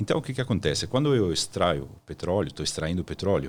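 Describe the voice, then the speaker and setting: Heard on a very clean recording with a silent background, a man with a very deep, low pitch makes very wide pitch swings. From Italy, Milan. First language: Italian (speaking Portuguese). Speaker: energy consultant. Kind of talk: podcast interview.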